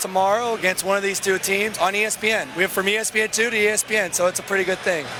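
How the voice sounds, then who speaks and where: A raised, projected male voice, high in pitch, monotone and flat, at a very fast pace amid noticeable background noise. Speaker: basketball coach. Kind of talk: post-game interview. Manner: talkative.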